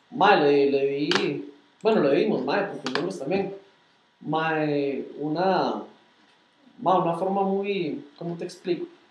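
A high-pitched man with a Costa Rican accent, very slow with long, frequent pauses and ordinary pitch variation, amid audible room echo and noticeable background noise. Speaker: car club founder and podcast co-host. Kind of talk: casual chat. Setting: livestream.

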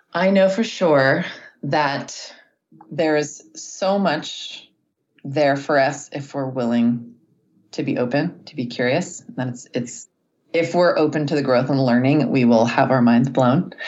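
A woman with a very deep, low voice and ordinary pitch variation, fairly slow, with audible room echo. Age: 40s. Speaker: life coach. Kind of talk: interview. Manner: peaceful.

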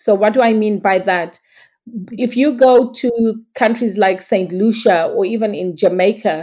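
This woman talks at a fairly slow pace in a medium pitch, with a dark, mellow tone and ordinary pitch variation. The recording is very clean, with a silent background. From Zimbabwe. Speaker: herbalist. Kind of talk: interview.

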